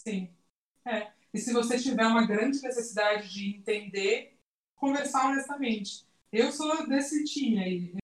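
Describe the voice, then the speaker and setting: A woman with a normal speaking voice, fairly high in pitch, with ordinary pitch variation at a fairly slow pace. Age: 30s. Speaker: content creator, designer. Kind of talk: casual chat.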